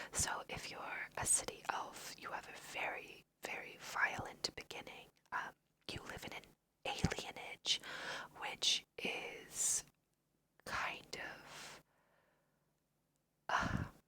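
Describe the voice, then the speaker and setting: A woman whispering with an American accent at a very slow pace, with long, frequent pauses and big swings in loudness. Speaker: ASMR creator. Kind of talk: whispered ASMR let's play.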